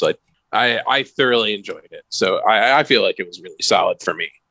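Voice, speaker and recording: A very fast-talking man speaks in an American accent. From rural US near the Canadian border. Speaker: game designer. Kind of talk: casual chat.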